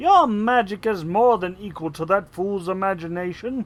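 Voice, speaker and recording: The pitch here sits in the middle range. The voice is a put-on character voice. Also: moderate pace. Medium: read story. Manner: sly, scornful.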